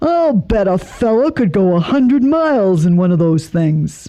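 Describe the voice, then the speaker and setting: Using a put-on character voice, a woman swings her pitch very widely while keeping her loudness very even. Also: medium pitch for a woman, moderate pace. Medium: read story. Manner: folksy, drawling colloquial.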